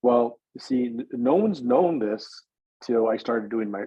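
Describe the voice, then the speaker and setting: Using a plain, everyday voice, a man speaks at a medium pitch and a moderate pace. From Northern California. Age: 60s. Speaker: adoptee sharing his life story. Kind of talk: personal testimony in podcast interview.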